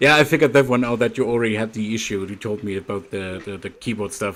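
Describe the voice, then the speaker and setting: A man with a strong German accent talks at a fairly quick pace in a medium pitch with ordinary pitch variation. The recording is very clean, with a silent background. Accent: thick German. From Germany. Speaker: livestreamer. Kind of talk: casual chat.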